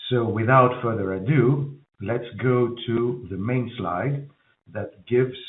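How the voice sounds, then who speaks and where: With audible room echo, a man of medium pitch speaks with ordinary pitch variation. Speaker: company finance chief. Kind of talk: earnings call presentation. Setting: conference call.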